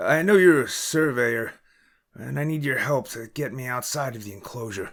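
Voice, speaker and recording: A man's raspy, medium-pitched put-on character voice with lively intonation, big swings in loudness and a moderate pace. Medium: read story. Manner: earnest, secretive.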